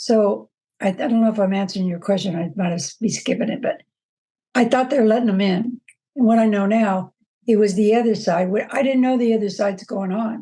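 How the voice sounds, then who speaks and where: At a fairly quick pace, a somewhat breathy woman speaks with ordinary pitch variation. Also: fairly high pitch for a woman. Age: 70s. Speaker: former rally participant. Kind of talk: interview testimony. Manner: animated storytelling.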